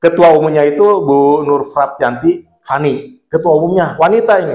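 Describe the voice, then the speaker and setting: At a moderate pace, a man speaks in a fairly high, dark and mellow voice with ordinary pitch variation. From West Java, Bandung (Sundanese). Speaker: lawyer and legal aid organization leader. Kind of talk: podcast interview. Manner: casual, repetitive fillers.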